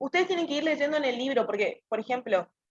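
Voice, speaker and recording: Her pitch variation is ordinary. The recording of this woman is dry and close, without echo. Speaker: student tutor. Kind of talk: tutoring session. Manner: fast.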